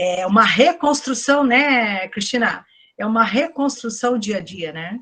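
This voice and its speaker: A woman speaks fairly slowly in an ordinary speaking voice, fairly high-pitched, with lively intonation and big swings in loudness. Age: 60s. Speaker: psychologist and lecturer. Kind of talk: online lecture Q&A. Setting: online event.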